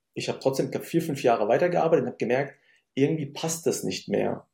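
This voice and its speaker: A man with a fairly high pitch and a dark, mellow tone speaks with lively intonation and vocal fry. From Germany, Syrian-born. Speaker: business consultant. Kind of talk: interview conversation.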